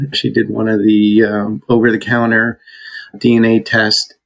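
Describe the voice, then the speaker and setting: An unremarkable speaking voice from a man at medium pitch and a fairly slow pace. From New Jersey. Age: 60s. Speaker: podcast guest sharing adoption story. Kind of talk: interview testimony.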